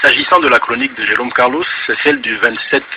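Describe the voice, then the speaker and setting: Background noise is clearly audible. Through it, a man can be heard talking. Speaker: radio columnist. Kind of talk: radio commentary.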